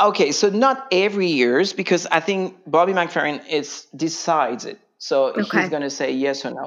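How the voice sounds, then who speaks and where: A man with a French accent, high-pitched and lively, at a moderate pace with hardly any pauses, over a quiet background. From France. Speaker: voice teacher and singer. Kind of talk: interview.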